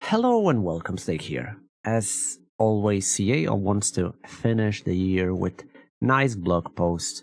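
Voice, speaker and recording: A man speaks at a very slow pace with a non-native accent. His fairly low voice has lively intonation. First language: not English. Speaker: gaming streamer. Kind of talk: reading and reacting to a blog post. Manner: halting, with many restarts and fillers.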